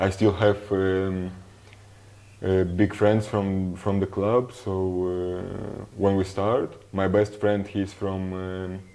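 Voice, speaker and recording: A man's fairly low, dark, mellow voice with a Russian accent, monotone, flat intonation and a very slow pace. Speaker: professional footballer. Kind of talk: interview. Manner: halting.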